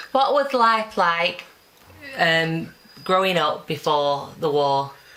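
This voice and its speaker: A woman's fairly low voice at a very slow pace, with very wide pitch swings and noticeable background noise. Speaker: oral history interviewer.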